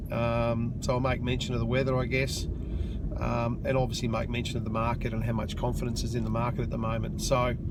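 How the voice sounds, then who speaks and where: Noticeable background noise behind a man's fairly quick delivery. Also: hardly any pauses. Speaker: real estate agent and auctioneer. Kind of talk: casual talk to camera, video blog while driving. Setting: in a car, on the way to an auction.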